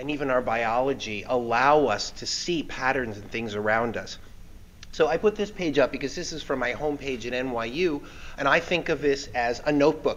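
A man talks at a moderate pace, his pitch showing ordinary variation. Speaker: guest lecturer. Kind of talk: lecture. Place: hall. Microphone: podium.

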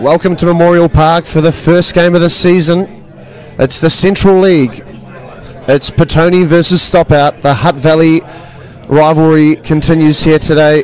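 An excited man at a moderate pace, fairly high in pitch, with very even loudness and noticeable background noise. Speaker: football commentator. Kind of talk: live match commentary, play-by-play over highlights. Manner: excited, rising energy at goals.

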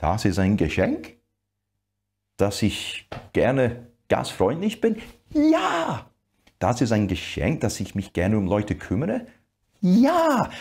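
The man's delivery is very slow. Long pauses break it up often. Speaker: preacher. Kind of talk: sermon. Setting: church video with online audience. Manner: animated, emphatic preaching, acting out dialogue. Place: studio. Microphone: lapel.

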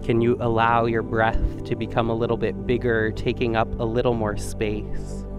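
With clear music in the background, a man talks at a moderate pace with hardly any pauses, in a monotone, flat way and a dry sound with no echo. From Vancouver, Canada. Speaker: yoga and meditation guide. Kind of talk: guided yoga class instruction. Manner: calm, gentle. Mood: calm, soothing. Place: studio. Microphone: headset.

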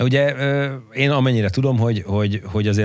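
A man's voice at a fairly quick pace with ordinary pitch variation. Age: 40s. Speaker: podcast co-host. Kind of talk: casual interview. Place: studio. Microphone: studio mic.

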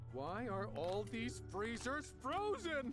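Over loud music in the background, a man in a put-on character voice talks at a very slow pace with a high pitch.

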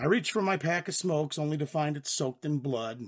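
A man puts on a character voice that is raspy and fairly high in pitch. His pitch varies in an ordinary way. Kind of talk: first-person western narration. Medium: read story. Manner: wry, deadpan, sardonic.

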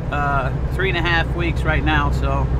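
A man's voice has a dry sound with no echo, set against loud background noise. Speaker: truck driver vlogger. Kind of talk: casual vlog chat. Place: car.

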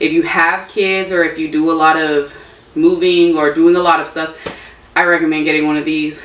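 A woman's fairly low, monotone, flat voice with audible room echo and light background noise. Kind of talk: casual vlog chat. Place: garage. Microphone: camera far.

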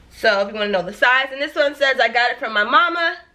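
A woman speaks in a raised, projected voice. Her intonation is lively. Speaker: lifestyle vlogger. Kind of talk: shopping haul video. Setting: home video recording. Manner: animated. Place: home room.

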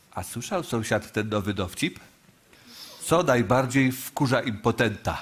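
Somewhat breathy, a man's voice moves along at a fairly slow pace. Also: ordinary pitch variation. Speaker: comedian playing a neighbour. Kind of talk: comedy sketch dialogue. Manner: stuffy-nosed cold sufferer telling a joke. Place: stage.

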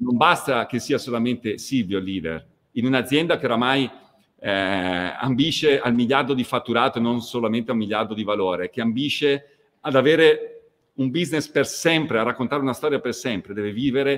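A man's pitch varies in an ordinary way as he talks fairly quickly. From northern Italy, near Verona; northern Italy. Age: 40s. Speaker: fashion company executive; guest. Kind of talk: interview. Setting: video call. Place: home room.

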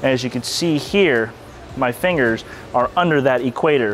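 A man's voice over light background noise. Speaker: bowling coach. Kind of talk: tutorial. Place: hall.

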